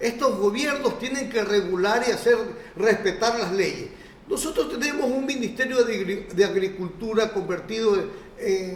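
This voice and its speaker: A man's high-pitched, animated voice at a moderate pace, ordinary pitch variation, with noticeable background noise. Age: 60s. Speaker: banana industry leader and former governor. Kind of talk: TV interview. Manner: animated, repetitive restarts.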